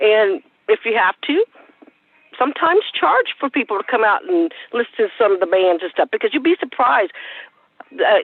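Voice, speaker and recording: A woman talks with an American accent. Her fairly high pitch moves in very wide swings. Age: 60s. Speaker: advisory board member. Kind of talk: public meeting discussion.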